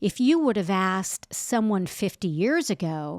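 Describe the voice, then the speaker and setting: A woman with a Southern US accent speaks in an animated tone at a fairly slow pace. The recording is very clean, with a silent background and a dry, close sound with no echo. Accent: twangy, sounds Southern. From California. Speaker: podcast co-host. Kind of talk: casual chat, Bible teaching.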